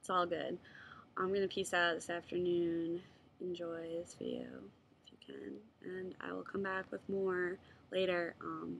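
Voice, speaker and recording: A woman speaks at a fairly slow pace. Her pauses are long and frequent. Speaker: video blogger. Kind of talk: casual vlog monologue. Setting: at home, webcam. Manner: hesitant, many fillers.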